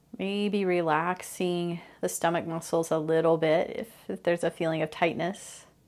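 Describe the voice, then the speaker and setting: Against a very clean recording with a silent background, a woman speaks at a fairly low pitch. She has an ordinary speaking voice with fairly even intonation. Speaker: meditation teacher. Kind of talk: guided meditation, gentle spoken instructions with pauses for practice. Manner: slow, soft-spoken and soothing, inviting curiosity; calm, unhurried cues with long silences between phrases.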